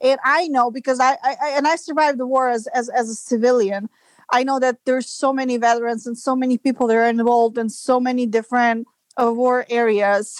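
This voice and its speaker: A woman at a fairly quick pace, high in pitch with fairly even intonation, on a very clean recording with a silent background. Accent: Serbian. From Serbia. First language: Serbian. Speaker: business development manager. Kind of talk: interview. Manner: halting.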